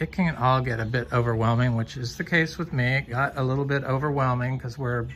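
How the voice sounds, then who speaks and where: Fairly even intonation over light background noise. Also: man. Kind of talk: casual vlog chat. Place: garden. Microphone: phone near.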